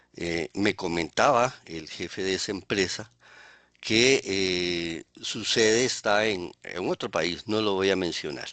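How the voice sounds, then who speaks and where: A man with a very deep, low pitch and a bright, sharp tone speaks at a very slow pace with ordinary pitch variation, in a dry, close sound with no echo. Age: 60s. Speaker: criminologist and webinar presenter. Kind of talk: webinar presentation. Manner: hesitant, many fillers.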